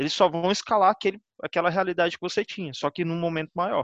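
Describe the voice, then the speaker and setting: A man speaks at a fairly quick pace in a high voice, recorded dry and close with no echo against a quiet background. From Goiânia, Brazil. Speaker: DevOps engineer. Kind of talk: casual group discussion.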